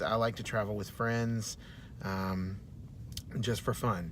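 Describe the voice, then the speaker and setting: A man speaks with an American accent and fairly even intonation. Room echo is audible. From Texas, Dallas. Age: 30s. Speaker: university student. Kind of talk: self-introduction video. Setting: in a car. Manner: many filler words, hesitant.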